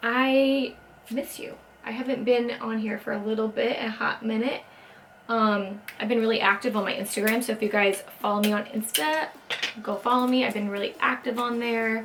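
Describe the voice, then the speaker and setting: A woman talks at a moderate pace with a fairly high pitch and fairly even intonation. Noticeable background noise sits behind her. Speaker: beauty vlogger. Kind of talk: makeup tutorial. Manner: quiet.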